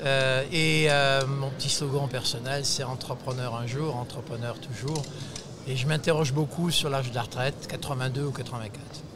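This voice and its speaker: This man speaks at a medium pitch and a moderate pace, with fairly even intonation. There is noticeable background noise and audible room echo. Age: 70s. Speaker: retired entrepreneur, nursery chain founder. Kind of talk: interview.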